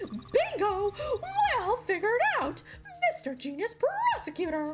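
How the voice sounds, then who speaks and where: A squeaky, put-on character voice at an extremely high pitch and a fairly slow pace, against loud background noise. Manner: playful, taunting.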